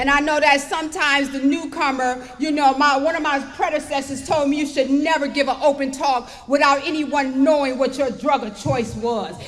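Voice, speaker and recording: A woman with a high pitch speaks at a moderate pace, barely pausing, with fairly even intonation. Noticeable background noise and audible room echo are present. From Detroit, Michigan, US. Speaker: recovery speaker. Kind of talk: testimony. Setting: stage with audience.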